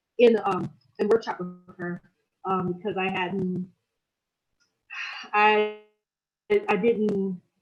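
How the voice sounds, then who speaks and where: With music in the background, a woman speaks very slowly in a flat, monotone voice, her loudness swinging widely and long, frequent pauses breaking her speech. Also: medium pitch for a woman. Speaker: author. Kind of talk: panel discussion remembrance.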